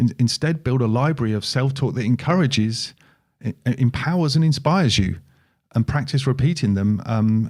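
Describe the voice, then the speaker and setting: The speaker talks at a moderate pace with ordinary pitch variation and a somewhat breathy sound. The recording is very clean, with a silent background. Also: man. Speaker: podcast co-host. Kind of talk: casual chat.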